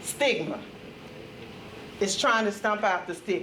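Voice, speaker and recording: Over noticeable background noise and audible room echo, a woman with a Mississippi accent speaks at a moderate pace in a fairly high pitch. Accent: US Southern (Mississippi). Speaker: retired corrections officer and mental health trainer. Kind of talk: conference talk. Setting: conference room with audience. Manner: loud.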